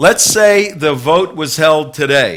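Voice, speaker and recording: With an ordinary speaking voice, a man talks at a fairly slow pace and a fairly high pitch. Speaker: talk show host. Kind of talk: interview question.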